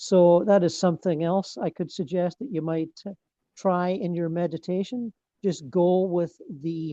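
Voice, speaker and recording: Over a quiet background, a man with a Scottish accent speaks in a high, dark, mellow voice with fairly even intonation and a dry, close sound with no echo. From Scotland. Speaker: meditation teacher. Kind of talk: group discussion. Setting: video call. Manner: halting.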